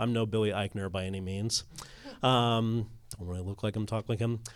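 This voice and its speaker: A man's ordinary speaking voice at a fairly quick pace, in a very clean recording with a silent background. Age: 30s. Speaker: filmmaker. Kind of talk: panel discussion.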